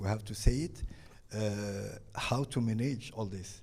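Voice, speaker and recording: Speaking at a fairly slow pace, a man has a fairly low pitch, a dark, mellow tone, some breathiness and ordinary pitch variation. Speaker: ambassador. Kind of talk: panel discussion. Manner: halting.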